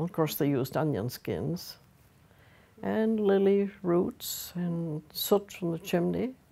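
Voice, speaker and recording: A woman with a Nova Scotian accent, a very deep, low pitch, vocal fry and a dark, mellow tone, in a very clean recording with a silent background. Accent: Nova Scotian (Maritime Canadian). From Nova Scotia, Canada. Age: 80s+. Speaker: craft teacher, weaver. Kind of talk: oral history interview. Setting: at home.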